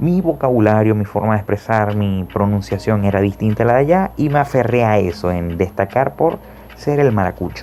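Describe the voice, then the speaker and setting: Over noticeable background noise, a man talks with lively intonation. His pitch sits fairly low. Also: moderate pace. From Venezuela, Maracaibo (Zulia). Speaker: podcast host. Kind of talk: casual personal monologue. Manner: animated, colloquial.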